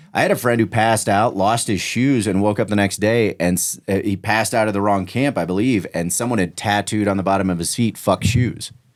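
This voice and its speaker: A man with an American accent and an ordinary speaking voice, fairly low-pitched, at a fairly quick pace with hardly any pauses and fairly even intonation, on a very clean recording with a silent background. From Kansas City area, US Midwest. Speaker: podcast host. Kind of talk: casual chat.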